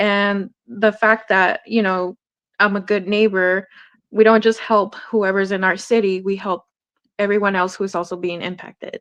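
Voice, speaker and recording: A woman speaks in a Spanish accent at a moderate pace and medium pitch. Her intonation is monotone and flat, over a quiet background. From Hawthorne, California, US. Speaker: artist, community outreach volunteer. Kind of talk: interview.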